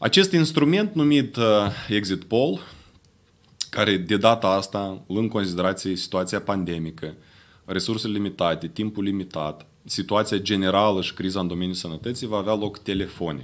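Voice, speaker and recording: A man with a plain, everyday voice talks at a moderate pace, his fairly low pitch showing ordinary pitch variation. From Moldova. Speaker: independent analyst; conference speaker. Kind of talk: press conference statement. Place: meeting room. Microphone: podium.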